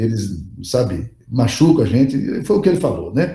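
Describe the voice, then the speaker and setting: A man with a medium pitch and a dark, mellow tone speaks at a moderate pace, using vocal fry and very wide pitch swings. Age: 60s. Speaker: pastor and leadership teacher. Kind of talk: lecture. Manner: casual, conversational.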